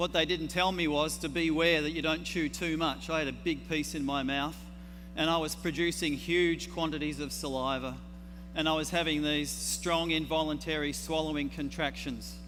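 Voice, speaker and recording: A man at a moderate pace, with audible room echo. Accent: Australian. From Australia. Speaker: herbalist. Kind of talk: conference talk. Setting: stage with audience.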